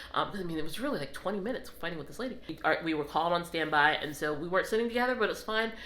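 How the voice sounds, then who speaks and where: A woman speaks very fast in a fairly low voice with a bright, sharp tone. Room echo is audible. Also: hardly any pauses. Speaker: travel vlogger. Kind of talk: casual storytelling vlog.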